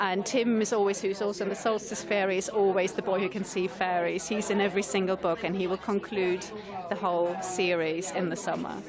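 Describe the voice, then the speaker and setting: A woman talks at a fairly quick pace and medium pitch. Audible room echo and noticeable background noise fill the recording. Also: fairly even intonation. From Italy. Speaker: children's author. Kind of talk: radio interview.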